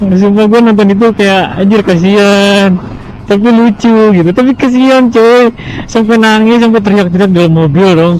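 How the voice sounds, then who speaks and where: Against noticeable background noise, a high-pitched man talks at a moderate pace with very even loudness. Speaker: motovlogger. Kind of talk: casual vlog commentary while riding. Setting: outdoors on a motorbike. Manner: animated.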